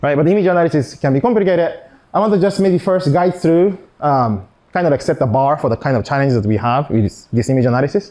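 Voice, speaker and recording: Lively intonation marks a man speaking at a very fast pace. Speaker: physicist giving an invited talk. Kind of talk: lecture. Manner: halting, many fillers and restarts.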